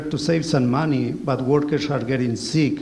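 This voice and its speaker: With a Spanish accent and a fairly high pitch, a man speaks at a moderate pace in a monotone, flat intonation, with audible room echo and noticeable background noise. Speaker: former highway pesticide sprayer. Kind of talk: testimony. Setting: community hall with audience. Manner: reading from notes.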